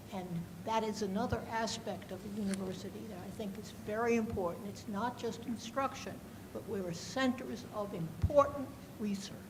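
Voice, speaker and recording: A woman speaks at a moderate pace with a fairly high pitch and ordinary pitch variation, her volume swinging widely. Room echo is audible, and background noise is noticeable. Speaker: audience member, former teacher. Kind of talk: audience question.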